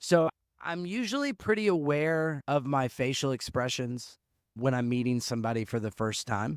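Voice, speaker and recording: In a very clean recording with a silent background, a man talks at a moderate pace and a medium pitch. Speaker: podcast co-host. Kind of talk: casual chat. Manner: loud; intense, expressive.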